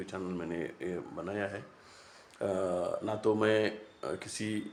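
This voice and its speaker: A man speaks at a fairly low pitch. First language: Marathi (speaking Hindi). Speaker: YouTube commentator. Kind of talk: casual monologue to camera. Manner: halting, many fillers.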